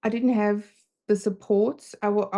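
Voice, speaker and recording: With a German accent, a woman talks at a moderate pace in a dark, mellow tone and monotone, flat intonation. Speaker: confidence coach. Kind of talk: casual chat. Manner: halting.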